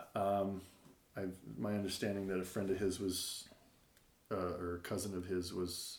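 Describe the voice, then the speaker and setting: Audible room echo surrounds a man talking at a moderate pace with fairly low pitch. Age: 40s. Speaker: elementary school teacher. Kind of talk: casual chat.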